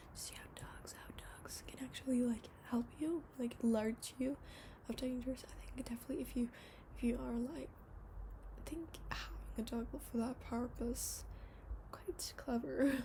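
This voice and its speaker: Whispering, a soft-spoken woman talks at a fairly slow pace. Her loudness swings widely. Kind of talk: ASMR horror story reading. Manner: whispered and soft-spoken.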